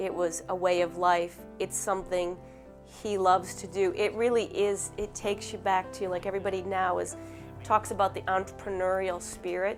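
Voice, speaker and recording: Music plays in the background as a woman speaks at a moderate pace. Her pitch is medium, with ordinary variation. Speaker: dairy farmer's daughter. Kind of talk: interview answer.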